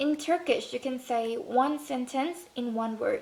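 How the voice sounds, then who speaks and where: A woman speaks with a Thai accent. Her pitch is high. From Thailand. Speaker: student vlogger. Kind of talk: casual vlog talk.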